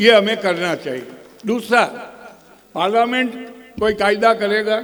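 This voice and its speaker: With noticeable background noise and audible room echo, a man with a high pitch speaks at a fairly slow pace in fairly even intonation. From Gujarat, India. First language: Gujarati (speaking Hindi). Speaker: senior lawyer. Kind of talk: conference speech. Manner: halting.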